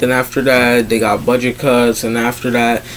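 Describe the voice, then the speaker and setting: Moderate-paced, medium-pitched male speech over noticeable background noise. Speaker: fan commentary youtuber. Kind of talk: casual monologue. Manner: hesitant, many fillers.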